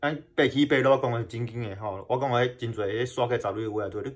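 Over a quiet background, a man talks at a fairly quick pace and medium pitch, his somewhat breathy voice showing ordinary pitch variation. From Kinmen, Taiwan; Taiwan. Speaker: YouTuber exploring wartime sites. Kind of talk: casual vlog talk. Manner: halting, many fillers and repetitions. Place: home room. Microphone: phone near.

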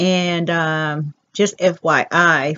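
A woman's normal speaking voice, fairly low in pitch, with fairly even intonation. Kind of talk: casual vlog chat. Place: home room. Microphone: headset.

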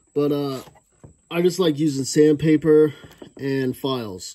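A man's pitch varies in an ordinary way, and the background is quiet. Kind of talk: tutorial. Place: workshop. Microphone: phone near.

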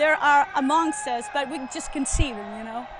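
Her voice is raised and projected. Light background noise sits under a dry sound with no echo. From Greece. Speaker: singer. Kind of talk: casual interview. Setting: at a live music event. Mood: heartfelt, remembering loved ones. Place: open country. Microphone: handheld.

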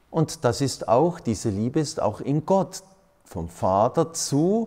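Over a quiet background, a man talks at a very slow pace in a dark, mellow tone. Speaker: priest. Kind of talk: sermon-like talk. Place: hall. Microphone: studio mic.

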